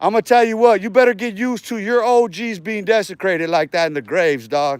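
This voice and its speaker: Speaking in an American accent, a man with a high pitch uses lively intonation and an animated tone at a fairly quick pace, in a very clean recording with a silent background. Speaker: livestreamer. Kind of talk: casual rant on livestream. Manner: repetitive and halting.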